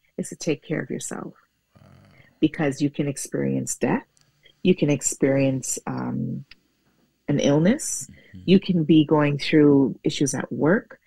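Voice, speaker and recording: A woman at a fairly slow pace, long and frequent pauses, big swings in loudness, a quiet background, and dry sound with no echo. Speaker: guest. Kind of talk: interview answer. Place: home room. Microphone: earbuds.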